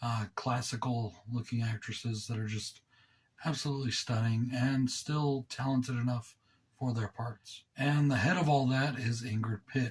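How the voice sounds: Speaking at a fairly slow pace, a man with a slightly husky edge holds medium pitch and fairly even intonation.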